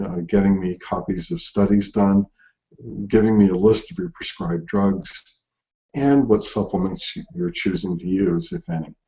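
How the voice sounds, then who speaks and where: Long, frequent pauses break up a man's speech. His voice is fairly low-pitched, with ordinary pitch variation and a moderate pace. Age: 60s. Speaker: herbalist doctor. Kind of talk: live webinar Q&A. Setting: video call webinar. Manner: halting, many fillers.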